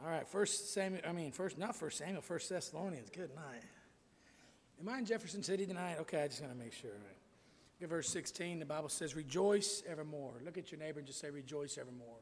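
The speech races at a very fast pace with lively intonation. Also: man. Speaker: preacher. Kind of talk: sermon and church announcements. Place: church.

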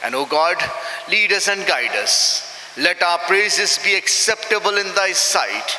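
Speaking at a fairly slow pace, a man with a high pitch and ordinary pitch variation keeps his loudness very even, with audible room echo around him. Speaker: minister leading worship. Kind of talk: prayer. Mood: solemn, reverent. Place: church. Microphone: podium.

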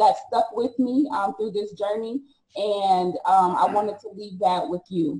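Somewhat breathy and dark, mellow in tone, a woman's medium-pitched voice moves at a fairly slow pace with ordinary pitch variation and big swings in loudness. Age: 40s. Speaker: author and speaker; speaker. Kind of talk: testimony. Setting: video call. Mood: earnest, emotional personal story. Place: home room. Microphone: video call.

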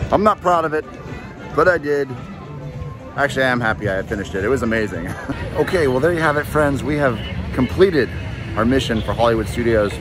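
A man speaks at a very fast pace in a dry sound with no echo, with clear music in the background. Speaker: theme park food vlogger. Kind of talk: casual vlog chat. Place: street. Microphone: phone near.

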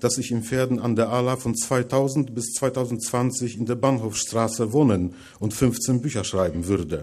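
Over a quiet background, a man talks at a moderate pace with a medium pitch, ordinary pitch variation and a dark, mellow tone. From Poland, Masuria; Poland. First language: Polish (speaking German). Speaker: writer, lecturer; lecturer. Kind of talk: lecture reading from manuscript. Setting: lecture hall with audience. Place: hall.

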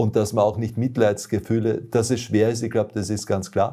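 Somewhat breathy, the voice has a dark, mellow tone over a quiet background. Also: man. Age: old. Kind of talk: testimony. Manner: hesitant, frequent fillers. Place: home room.

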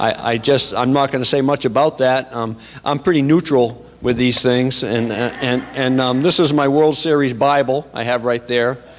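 The speech moves at a moderate pace with hardly any pauses and fairly even intonation. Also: man, medium pitch for a man. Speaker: pastor. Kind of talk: sermon. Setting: church. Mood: relaxed, humorous. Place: church. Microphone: handheld.

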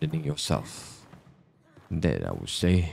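A man with a very deep, low voice and vocal fry speaks with ordinary pitch variation over light background noise. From Malaysia. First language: Malay. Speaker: gaming streamer. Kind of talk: let's play commentary. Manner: animated. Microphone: studio mic.

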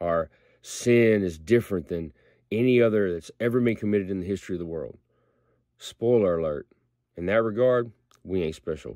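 A man speaks at a moderate pace with a fairly low pitch, a dark, mellow tone and ordinary pitch variation. Long, frequent pauses break up his speech against a quiet background. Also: dry sound with no echo. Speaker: lay preacher. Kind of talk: short sermon-style prayer devotional. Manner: earnest, conversational preacher tone, plain-spoken and direct; animated, mock-dramatic when acting out God's reaction. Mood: earnest, reflective. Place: home room. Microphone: phone near.

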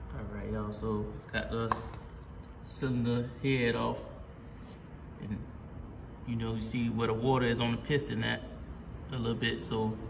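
A man at a moderate pace, broken by long, frequent pauses, over noticeable background noise. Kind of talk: casual repair walkthrough. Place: garage. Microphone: phone near.

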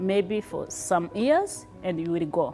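A woman at a very slow pace, with faint music in the background. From Rwanda, raised in refugee camps in Tanzania and Kenya. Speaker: refugee, immigrant. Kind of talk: personal storytelling. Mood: happy, smiling toward the end. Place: home room.

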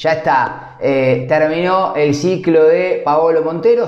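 A man speaks at a fairly high pitch with a slightly mellow tone. Faint background noise can be heard.

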